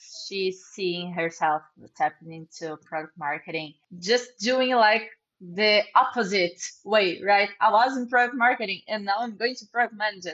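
A woman at medium pitch, with ordinary pitch variation, big swings in loudness and a moderate pace. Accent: Portuguese. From Brazil. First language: Portuguese. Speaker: product manager. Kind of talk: casual interview.

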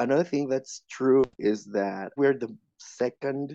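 Speaking with a Spanish accent, a man has a dark, mellow tone. His pace is fairly slow and his pitch varies in an ordinary way. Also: dry, close sound with no echo. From Mexico City. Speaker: podcast guest. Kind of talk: casual chat.

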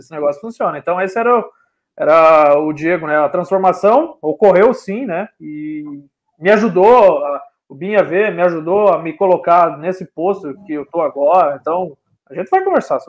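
The speaker is a man with a high pitch that varies in an ordinary way. He keeps a moderate pace. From Brazil, Paraná (Cascavel). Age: 30s. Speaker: civil engineer, BIM manager. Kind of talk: interview.

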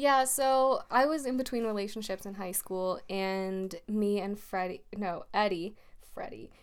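A woman talks at a fairly slow pace in a medium pitch. She has a normal speaking voice with ordinary pitch variation. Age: 20s. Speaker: podcast co-host. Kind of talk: casual chat.

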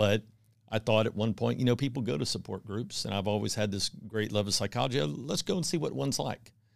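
A man with an American accent, fairly low pitch, vocal fry, lively intonation and a very fast pace. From Texas (Houston). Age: 50s. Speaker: divorce support group leader. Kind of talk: casual interview.

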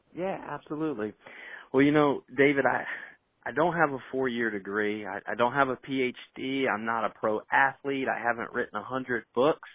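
In an American accent, a man with an unremarkable speaking voice talks at a moderate pace in a medium pitch with ordinary pitch variation. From Indiana, US Midwest. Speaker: business executive and author. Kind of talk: podcast interview.

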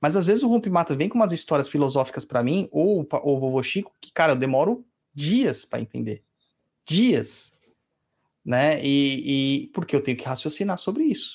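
A man with a normal speaking voice uses lively intonation, a fairly high pitch and a moderate pace. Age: 40s. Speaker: podcast host and umbanda priest. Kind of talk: casual chat answering listener emails. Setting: live stream.

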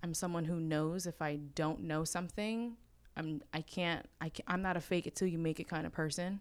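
On a very clean recording with a silent background, a woman with an unremarkable speaking voice and a fairly low pitch talks at a moderate pace with ordinary pitch variation. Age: 20s. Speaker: real estate agent. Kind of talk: casual chat. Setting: office.

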